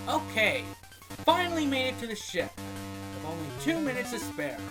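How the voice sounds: A man's put-on character voice, extremely high and bright, sharp in tone, with very wide pitch swings at a moderate pace, faint music and audible room echo behind it.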